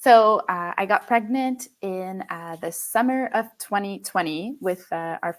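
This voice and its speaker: A woman speaking at a very slow pace with lively intonation. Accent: French. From Quebec, Canada. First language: French. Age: 20s. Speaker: podcast guest, mother. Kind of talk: interview conversation.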